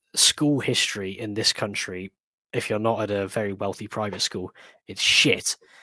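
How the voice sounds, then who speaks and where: Speaking with a West Midlands accent, a man has a bright, sharp tone and a moderate pace, captured with a dry, close sound with no echo. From West Midlands, England. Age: 20s. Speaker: history enthusiast. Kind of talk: casual chat.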